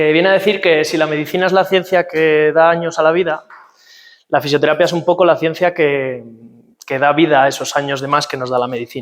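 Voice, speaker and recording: A man speaks at a fairly quick pace in a fairly high pitch, his intonation fairly even. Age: 20s. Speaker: physiotherapist. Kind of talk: workshop talk. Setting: talk with live audience. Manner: hesitant, many fillers.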